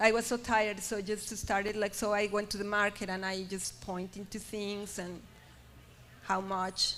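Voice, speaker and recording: In a Spanish accent, a woman speaks at a moderate pace and a medium pitch. Her intonation is monotone and flat. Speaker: artist. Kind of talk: panel discussion. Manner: halting, many repetitions.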